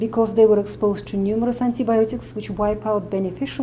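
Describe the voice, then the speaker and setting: A woman with a Russian accent talks at a very fast pace and medium pitch. Noticeable background noise is present. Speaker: medical doctor and nutritionist. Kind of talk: interview explanation.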